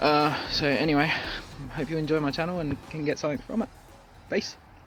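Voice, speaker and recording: Fairly high-pitched and fairly even in intonation, a man with an Australian accent speaks at a fairly quick pace over music in the background. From South Australia. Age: 30s. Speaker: skating vlogger. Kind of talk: casual vlog monologue. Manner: halting, many fillers.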